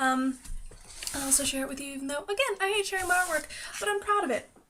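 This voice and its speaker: A very fast, raised and projected voice with an American accent and a bright, sharp tone. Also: woman. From United States. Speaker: pagan vlogger. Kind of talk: casual vlog monologue.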